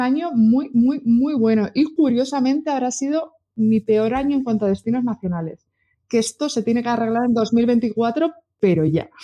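Her pitch high for a woman, she speaks with ordinary pitch variation, a moderate pace and a dark, mellow tone. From Spain, Burgos. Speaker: travel blogger. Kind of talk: casual chat. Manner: animated.

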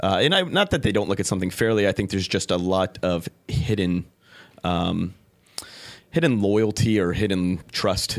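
A man's very deep, low voice in a Californian accent, fairly quick and fairly even in intonation, on a very clean recording with a silent background. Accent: American (Californian). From California (San Diego). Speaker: entrepreneur, cafe and bar owner. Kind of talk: interview. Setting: studio. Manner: halting, many fillers.

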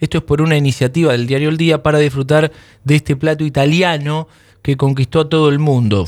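On a very clean recording with a silent background, a man with a Rioplatense accent speaks in a fairly high voice with ordinary pitch variation. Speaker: radio host. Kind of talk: radio interview.

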